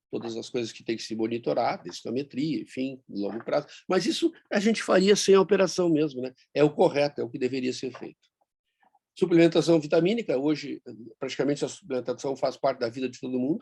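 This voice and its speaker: A man speaks in a fairly high pitch with a dark, mellow tone. His pace is fairly quick, with lively intonation and big swings in loudness. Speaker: bariatric surgeon. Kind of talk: online meeting talk. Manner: fast.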